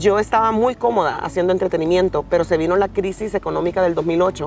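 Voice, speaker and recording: Speaking very fast with a Honduran accent, a woman keeps a medium pitch, fairly even intonation and very even loudness. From Honduras, Puerto Cortés. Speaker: TV news reporter. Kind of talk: interview. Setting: outdoors.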